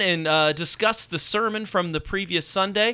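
A man's high-pitched, raised, projected voice with a bright, sharp tone and ordinary pitch variation. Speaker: church podcast co-host. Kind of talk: casual church podcast chat.

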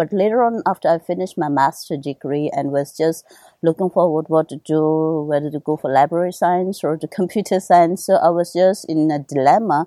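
With hardly any pauses, the dark, mellow voice shows ordinary pitch variation in a very clean recording with a silent background and a dry, close sound with no echo. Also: woman, fairly low pitch for a woman, moderate pace. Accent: Tibetan. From Tibetan exile community in India, born in Nepal. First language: Tibetan. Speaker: Tibetan medicine doctor and translator. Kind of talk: interview.

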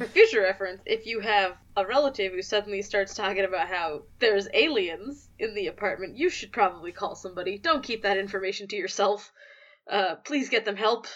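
With ordinary pitch variation, an ordinary speaking voice keeps up a fairly quick pace. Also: woman, medium pitch for a woman. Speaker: podcast host. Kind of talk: casual podcast chat.

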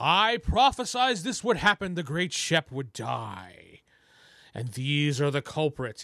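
Using a put-on character voice, a man speaks at a fairly slow pace with a fairly high pitch and very wide pitch swings. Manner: theatrical, prophesying.

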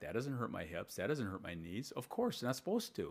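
The recording is very clean and the background silent. A man's voice shows vocal fry and pitch swings that are very wide. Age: 60s. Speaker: strength coach. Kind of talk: casual chat.

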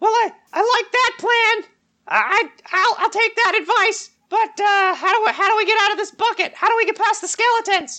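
A man's squeaky put-on character voice at an extremely high pitch, delivered at a moderate pace. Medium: actual play. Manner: stammering, repeats words nervously.

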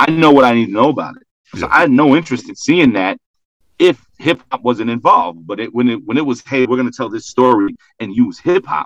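Speaking at a very fast pace, a man with an American accent uses lively intonation at a medium pitch, recorded with a dry, close sound and no echo. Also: big swings in loudness. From Brooklyn, New York. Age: 30s. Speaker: rapper. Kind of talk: casual chat.

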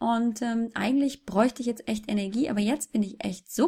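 In a very clean recording with a silent background, a woman speaks at a fairly quick pace and fairly high pitch, somewhat breathy, with ordinary pitch variation. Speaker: fitness blogger and mother. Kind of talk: interview.

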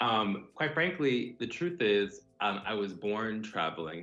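A man's normal speaking voice, fairly low in pitch, with ordinary pitch variation and an American accent. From US South, South Florida (Broward County). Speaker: university administrator. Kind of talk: casual interview.

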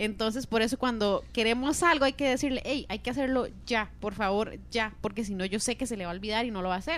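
With vocal fry, a woman speaks at a fairly high pitch and ordinary pitch variation. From Costa Rica. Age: 30s. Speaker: podcast guest, host's wife. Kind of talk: casual chat.

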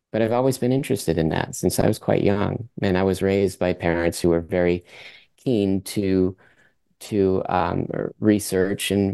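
Against a quiet background, a man with a very deep, low pitch and a dark, mellow tone speaks at a moderate pace with fairly even intonation. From Vermont, US, French-Canadian family. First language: French. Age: 50s. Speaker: circus performer and athlete. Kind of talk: casual interview.

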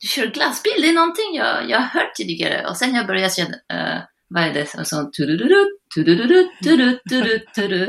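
Speaking at a moderate pace, a woman with a fairly high voice swings her pitch very widely. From northern France. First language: French (speaking Swedish). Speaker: general practitioner. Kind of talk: casual chat. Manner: halting.

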